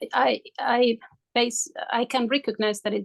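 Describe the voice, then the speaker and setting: A woman speaks with a Spanish accent. The sound is dry and close, with no echo. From Spain. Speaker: coaching client. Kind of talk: coaching session. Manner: halting.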